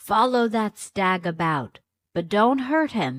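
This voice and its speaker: At a fairly slow pace, a female-sounding voice does a put-on character voice at a medium pitch, in a very clean recording with a silent background. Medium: read story. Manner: authoritative.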